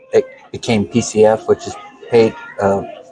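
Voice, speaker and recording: A man's speech moves at a very slow pace. Behind it, music can be heard. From California. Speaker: truck driver and former firefighter. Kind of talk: casual chat. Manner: hesitant, with many fillers.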